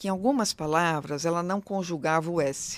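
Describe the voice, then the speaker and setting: A woman speaks at a fairly low pitch with lively intonation. The recording is very clean and the background silent. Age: middle-aged. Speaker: diversity consultant. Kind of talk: interview conversation. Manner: fast; animated.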